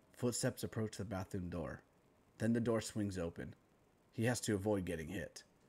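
In a solemn tone, the speaker keeps a moderate pace and ordinary pitch variation. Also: man. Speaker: creative writing teacher reading own story. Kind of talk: dramatic narration of a screenplay-style story, reading aloud with character lines. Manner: solemn, grave, shifting into different character voices for dialogue.

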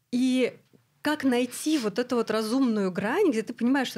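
A woman's lively intonation over a quiet background. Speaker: podcast host and clinic founder; podcast host. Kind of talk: casual chat. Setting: studio. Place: studio. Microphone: studio mic.

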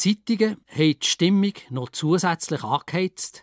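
A man at a fairly slow pace with ordinary pitch variation, on a very clean recording with a silent background and a dry, close sound with no echo. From Schwyz, Switzerland. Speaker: author and retired secondary teacher. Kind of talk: dialect story reading.

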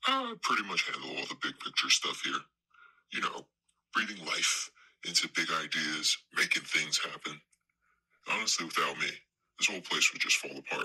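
Using a put-on character voice, a man speaks at a moderate pace. He leaves long, frequent pauses. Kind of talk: mockumentary comedy. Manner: pompous, indignant.

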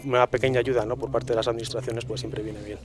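A man with fairly even intonation, in a dry sound with no echo and light background noise. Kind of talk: interview answer. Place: hall. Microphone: handheld.

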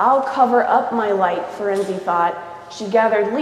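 With ordinary pitch variation, a natural voice reads text aloud.

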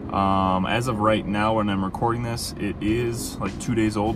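A man speaks at a moderate pace with fairly low pitch and fairly even intonation. The sound is dry with no echo, though background noise is noticeable. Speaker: film photography creator. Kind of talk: casual vlog commentary. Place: car. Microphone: phone near.

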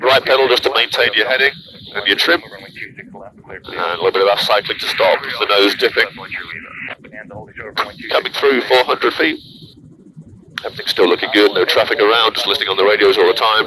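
Dry with no echo but with noticeable background noise, the recording has a man speaking at a fairly quick pace. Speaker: flight instructor pilot. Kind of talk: tutorial. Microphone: headset.

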